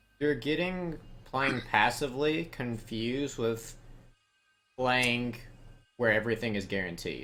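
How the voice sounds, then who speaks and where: Amid audible room echo and music in the background, a man with an American accent speaks at a medium pitch and fairly slow pace, leaving long, frequent pauses. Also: ordinary pitch variation. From US South. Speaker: video game coach. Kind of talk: coaching session.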